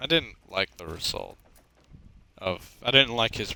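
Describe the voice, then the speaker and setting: He is soft-spoken. The man talks at a very slow pace. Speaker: gaming streamer. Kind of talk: casual chat. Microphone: too quiet.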